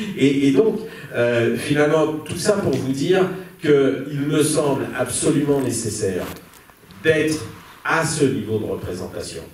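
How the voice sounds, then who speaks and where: Amid noticeable background noise and audible room echo, a man with a fairly high pitch speaks with lively intonation. His pace is very slow, with long, frequent pauses. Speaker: activist and panel moderator. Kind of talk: panel debate. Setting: stage with audience. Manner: loud; halting, many hesitations.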